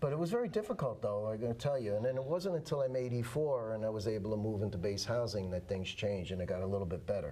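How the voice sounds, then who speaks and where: A very fast man's voice with a New York accent, medium pitch, lively intonation and very even loudness, amid noticeable background noise and audible room echo. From New York City (Manhattan). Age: 70s. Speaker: war veteran. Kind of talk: interview. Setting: studio.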